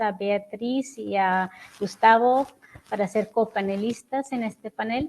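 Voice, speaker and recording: A woman speaks with a non-native accent at a fairly slow pace. Her pitch is fairly high and her intonation fairly even. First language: not Spanish (speaking Spanish). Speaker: human rights researcher. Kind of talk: conference presentation. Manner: hesitant.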